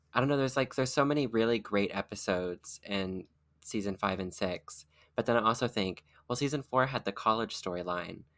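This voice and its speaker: A man with an ordinary speaking voice talks at a fairly quick pace with ordinary pitch variation, on a very clean recording with a silent background. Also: fairly low pitch for a man. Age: 20s. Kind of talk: casual chat.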